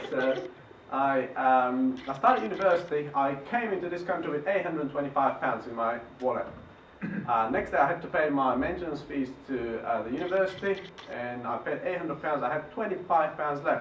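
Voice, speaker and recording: A man talks at a fairly quick pace with a fairly high pitch and lively intonation. Noticeable background noise and audible room echo are present. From Bulgaria. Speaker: property investor. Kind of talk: presentation. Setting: stage with audience. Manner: halting.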